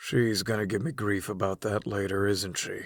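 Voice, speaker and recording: A man does a put-on character voice, raspy and fairly low in pitch. His intonation stays fairly even at a moderate pace. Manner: dry, clipped.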